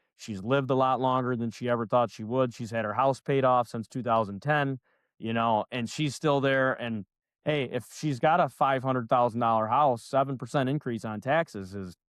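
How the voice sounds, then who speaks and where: A man with an American accent talks at a moderate pace with fairly even intonation. The background is quiet. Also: medium pitch for a man, dry, close sound with no echo. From Northern New York. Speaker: loan officer, podcast host. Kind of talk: casual interview chat. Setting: live show.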